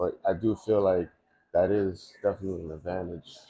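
A man talks in a New York accent, his pitch very deep and low. His voice is somewhat breathy, with light background noise behind it. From Long Island, New York. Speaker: cannabis grower; guest. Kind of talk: casual interview. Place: shop.

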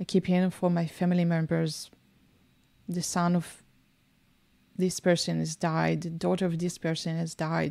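Here a woman with an Israeli accent speaks at a moderate pace in a dark, mellow tone, her fairly low pitch delivered with monotone, flat intonation. She pauses long and often, and the recording is very clean with a silent background. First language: Hebrew. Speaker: small business owner, podcast co-host. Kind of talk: casual chat.

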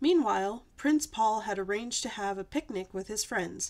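This is plain reading aloud. The delivery stays that way throughout.

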